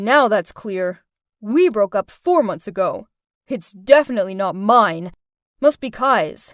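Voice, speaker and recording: Putting on a character voice at medium pitch, a woman speaks fairly slowly with very wide pitch swings in a dry, close sound with no echo. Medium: read story. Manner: curt, dismissive.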